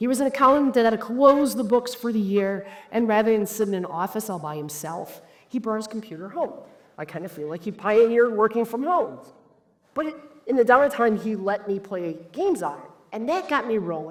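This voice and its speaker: A woman with an American accent talks at a fairly high pitch and a moderate pace. Her intonation is lively, and her loudness swings widely. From United States. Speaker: cybersecurity executive and conference speaker. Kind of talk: conference talk. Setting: stage with audience. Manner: animated.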